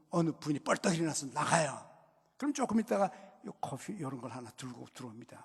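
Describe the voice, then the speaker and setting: A man talks at a fairly quick pace with a fairly high pitch, very wide pitch swings, and big swings in loudness. His tone is animated, broken by long, frequent pauses. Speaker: pastor. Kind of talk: sermon. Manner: conversational, animated.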